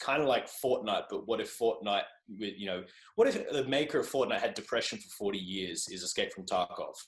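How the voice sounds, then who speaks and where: Fairly quick male speech with an Australian accent. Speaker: journalist and podcaster. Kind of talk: casual chat. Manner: animated.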